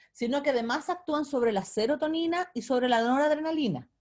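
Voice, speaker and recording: Lively intonation marks a woman's voice. She talks fairly quickly. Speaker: lecturer. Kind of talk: lecture.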